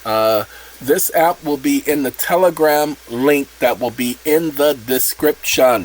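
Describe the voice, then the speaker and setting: Speaking very slowly, a man uses a fairly high pitch with ordinary variation. Noticeable background noise is present. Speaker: channel host explaining a self-made app. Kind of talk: casual tutorial.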